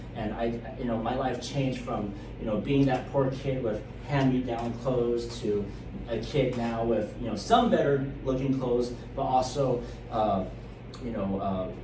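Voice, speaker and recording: A man with a medium pitch and a Californian accent speaks at a fairly slow pace with fairly even intonation. Noticeable background noise and audible room echo fill the recording. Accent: Californian American English. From Sacramento, California. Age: 30s. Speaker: city council candidate. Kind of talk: interview. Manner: halting, many fillers.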